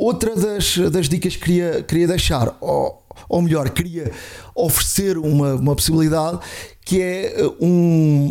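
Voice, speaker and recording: A man speaks in a dark, mellow tone with ordinary pitch variation. The recording is very clean with a silent background. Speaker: tech podcast co-host. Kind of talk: casual chat.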